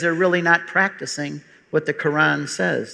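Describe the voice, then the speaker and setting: A man with an American accent speaks with a bright, sharp tone. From US Midwest, outside Detroit, Michigan. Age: 60s. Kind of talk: public talk.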